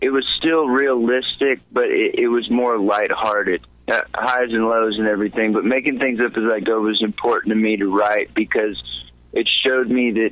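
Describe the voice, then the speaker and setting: Here a man speaks in a Texan accent. His pace is moderate. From Texas, San Antonio. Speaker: country singer-songwriter. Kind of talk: interview. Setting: studio. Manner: halting, many repeated words and fillers.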